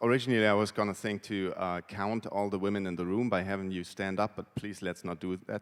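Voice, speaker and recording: Very deep, low male speech with a German accent, fairly quick and fairly even in intonation. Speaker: conference speaker, WordPress translator. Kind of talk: conference talk. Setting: stage with audience.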